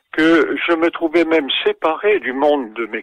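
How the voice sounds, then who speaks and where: This man's pitch is fairly high, and he speaks very slowly. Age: 80s+. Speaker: oncologist and author. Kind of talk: interview. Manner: hesitant, many fillers.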